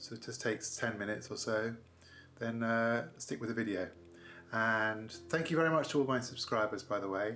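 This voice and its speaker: A man at a fairly quick pace, ordinary pitch variation, with audible room echo. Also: medium pitch for a man. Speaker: painting tutor. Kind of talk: tutorial.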